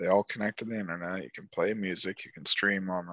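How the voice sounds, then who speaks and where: Over a quiet background, a man with a very deep, low pitch talks at a moderate pace with fairly even intonation, the sound dry and close with no echo. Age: 30s. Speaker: podcast co-host. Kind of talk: casual chat. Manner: monotone.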